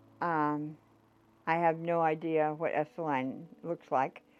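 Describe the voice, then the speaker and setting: Background music accompanies the speech. The speaker is a woman with an American accent. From Dakotas, US. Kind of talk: life story interview answer.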